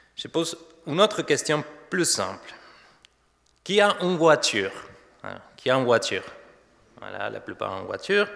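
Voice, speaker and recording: With an Argentine accent, a man talks at a moderate pace, taking long, frequent pauses and showing big swings in loudness. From Argentina. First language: Spanish (speaking French). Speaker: pastor. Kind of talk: sermon. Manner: halting.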